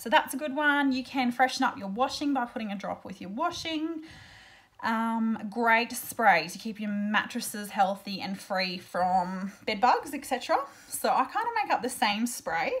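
Speaking with an Australian accent, a woman uses a fairly high pitch, lively intonation, and big swings in loudness. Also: fairly slow pace. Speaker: essential oil seller and blogger; essential oil seller, blogger. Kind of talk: tutorial. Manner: casual, chatty with fillers. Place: home room. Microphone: webcam.

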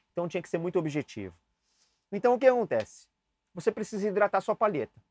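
A man's lively, up-and-down voice, very cleanly recorded against a silent background, dry and close with no echo. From Brazil, São Paulo. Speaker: saxophone teacher. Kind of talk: tutorial. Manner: casual, chatty.

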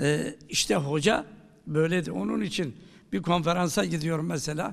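Over a quiet background, a man with vocal fry talks at a fairly slow pace with very wide pitch swings. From Turkey. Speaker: professor of theology; professor giving a talk. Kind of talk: lecture. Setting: university lecture hall with audience. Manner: halting, many filler sounds. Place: hall. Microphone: podium.

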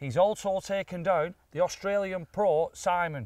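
A high-pitched man at a very slow pace, with ordinary pitch variation, a dry sound with no echo and a quiet background. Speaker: presenter. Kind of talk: casual vlog intro. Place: open country. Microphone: lapel.

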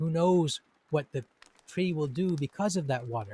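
Somewhat breathy and calm, gentle in tone, a man speaks in a dry sound with no echo. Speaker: teacher and poet-translator. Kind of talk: poem reading and short talk. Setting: recorded indoors, rain audible. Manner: slow, calm, measured, contemplative; gentle, warm, reflective. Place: home room. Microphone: studio mic.

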